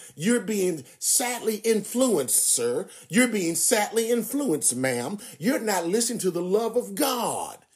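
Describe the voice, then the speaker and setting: A high-pitched man at a fairly slow pace, with lively intonation, hardly any pauses and noticeable background noise. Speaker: preacher. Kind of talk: sermon. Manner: preacherly, earnest, exhorting the congregation with emphatic, pulpit-style delivery.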